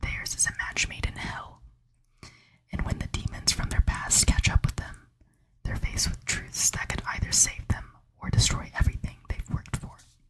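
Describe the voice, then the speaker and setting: A woman whispering at a moderate pace. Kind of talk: reading a book blurb aloud. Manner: whispered, soft-spoken.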